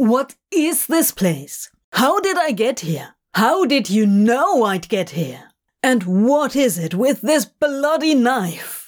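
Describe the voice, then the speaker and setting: A female-sounding put-on character voice, fairly high in pitch, at a very slow pace with very wide pitch swings. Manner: anxious, frustrated, sour.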